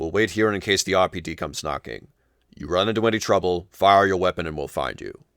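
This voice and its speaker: A man talks at a very fast clip in a put-on character voice pitched very deep and low, on a very clean recording with a silent background. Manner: authoritative.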